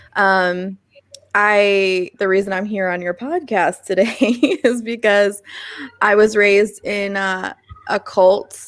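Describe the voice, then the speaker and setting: It is a normal speaking voice with fairly even intonation. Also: woman. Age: 30s. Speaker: podcast guest, former cult member. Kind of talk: casual interview.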